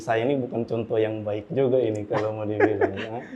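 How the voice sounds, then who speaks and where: A man speaks with a dark, mellow tone. His intonation is monotone and flat. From Central Sulawesi, Indonesia (Luwuk, Banggai). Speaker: civil engineer, discussion panelist. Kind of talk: panel discussion.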